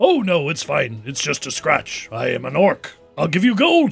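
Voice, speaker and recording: A man does a put-on character voice at a high pitch and a moderate pace. Faint music plays in the background. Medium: actual play. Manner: excitable, theatrical.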